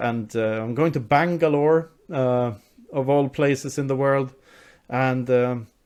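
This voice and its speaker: This man speaks in a Swedish accent. His pitch is fairly high, with ordinary pitch variation. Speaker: author. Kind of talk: interview.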